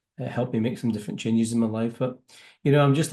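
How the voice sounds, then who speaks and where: A man speaks in a Scottish accent at a medium pitch, with ordinary pitch variation. His tone is dark and mellow, and the background is quiet. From Scotland. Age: 50s. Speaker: business networking entrepreneur. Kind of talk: interview.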